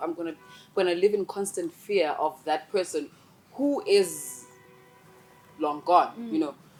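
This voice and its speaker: With music in the background, a woman speaks at a moderate pace, her pitch swinging very widely. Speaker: drafting engineer and MC. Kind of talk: interview answer. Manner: confident.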